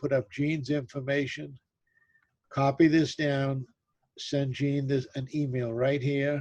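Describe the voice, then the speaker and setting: A man's somewhat breathy voice, fairly high in pitch, with a dark, mellow tone. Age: 70s. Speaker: business webinar presenter. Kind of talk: webinar Q&A.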